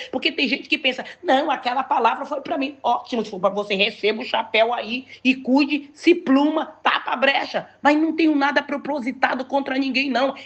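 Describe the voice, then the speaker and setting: Her tone is animated, with hardly any pauses. The woman speaks at a high pitch. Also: ordinary pitch variation, moderate pace. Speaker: pastor. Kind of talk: sermon.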